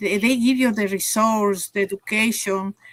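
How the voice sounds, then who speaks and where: Recorded dry and close with no echo, a woman with an Ecuadorian accent speaks at a medium pitch in a bright, sharp tone. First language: Spanish. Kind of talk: interview. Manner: halting, many fillers.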